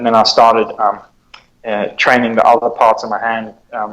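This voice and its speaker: This man talks at a moderate pace. His voice sits at a medium pitch. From South Africa. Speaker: police officer and martial artist. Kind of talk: podcast interview answer. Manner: hesitant, many fillers.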